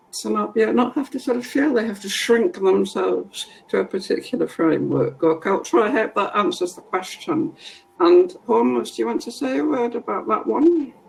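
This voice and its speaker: A woman speaks at a moderate speed while noticeable noise fills the background. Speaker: workshop facilitator. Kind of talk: webinar Q&A.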